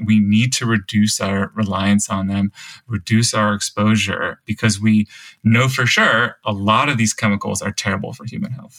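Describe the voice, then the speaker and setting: A man with a normal speaking voice and a fairly low pitch talks at a moderate pace with fairly even intonation, in a dry, close sound with no echo. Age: 30s. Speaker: science journalist and author. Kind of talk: interview.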